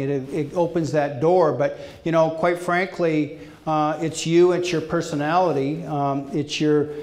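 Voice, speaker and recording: Over noticeable background noise and audible room echo, a man speaks at a moderate pace with a fairly high pitch and monotone, flat intonation. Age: 60s. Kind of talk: panel Q&A answer. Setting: dinner meeting with audience. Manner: halting, many fillers.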